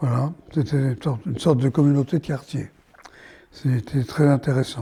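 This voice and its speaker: Speaking at a moderate pace, a man has a fairly high, somewhat breathy voice. His tone is dark and mellow, with fairly even intonation. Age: 80s+. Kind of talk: interview answer.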